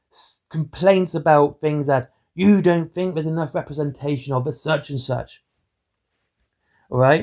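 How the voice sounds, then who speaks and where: Here a man speaks at a moderate pace in a dark, mellow tone. The recording is very clean with a silent background. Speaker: hobby commentator. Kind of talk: opinion monologue. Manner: monotone.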